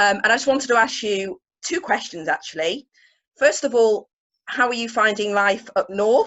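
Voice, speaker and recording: Speaking with a northern English accent, a woman with a fairly high pitch keeps a moderate pace and ordinary pitch variation. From northern England. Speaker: charity fundraising director. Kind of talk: casual chat.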